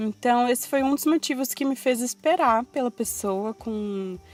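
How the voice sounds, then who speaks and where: Speaking at a fairly slow pace, a woman uses an ordinary speaking voice with a fairly high pitch. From Brazil, São Paulo coast. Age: 20s. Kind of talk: personal testimony in podcast. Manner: casual, conversational.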